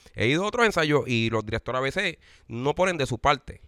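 A man at a medium pitch speaks with lively intonation in a very clean recording with a silent background. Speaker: online salsa show host. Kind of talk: casual interview. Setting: band rehearsal.

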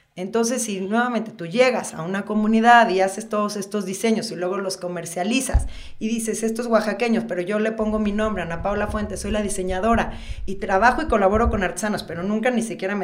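A woman at a fairly quick pace, fairly even in intonation, with noticeable background noise and audible room echo. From central Mexico, Toluca. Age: 40s. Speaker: social designer and photographer. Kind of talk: casual interview chat.

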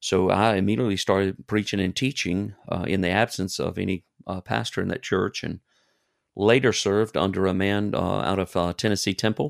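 On a very clean recording with a silent background and a dry, close sound with no echo, a man with an Alabama accent speaks at a fairly low pitch. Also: ordinary pitch variation, fairly quick pace. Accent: Southern US (Alabama). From US South, Alabama. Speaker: missionary. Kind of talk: interview. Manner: halting.

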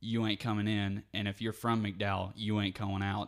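A man's fairly low, monotone voice with flat intonation on a very clean recording with a silent background. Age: 20s. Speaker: musician. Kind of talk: casual chat.

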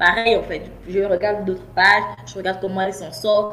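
A woman speaks at a moderate pace. Music is playing behind her. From Gabon. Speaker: business coach. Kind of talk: interview. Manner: halting, many repetitions.

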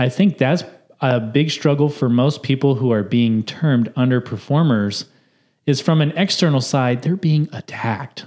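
A man uses a normal speaking voice at medium pitch, talking at a moderate pace with ordinary pitch variation and very even loudness. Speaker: podcast host. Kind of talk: casual chat. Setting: video podcast.

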